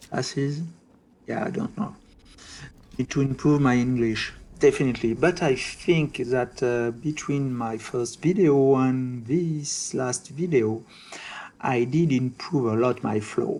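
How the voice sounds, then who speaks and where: In a French accent, a man talks at a fairly slow pace. His pitch is medium, with ordinary variation. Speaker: gaming video creator. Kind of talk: gameplay commentary. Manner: hesitant with many fillers.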